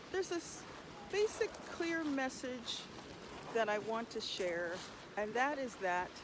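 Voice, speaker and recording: A woman with an American accent and a high pitch, a calm tone and very wide pitch swings, speaking very slowly with long, frequent pauses over noticeable background noise. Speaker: vocal alchemist, healer and performance artist. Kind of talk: spiritual meditation talk, casual and passionate. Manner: calm, reflective.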